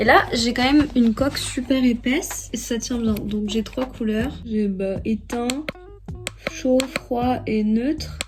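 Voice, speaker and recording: Music plays in the background as a woman speaks very slowly. Her voice is fairly high-pitched, with ordinary pitch variation. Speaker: vlogger. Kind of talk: casual vlog talk. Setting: in a car. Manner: soft-spoken.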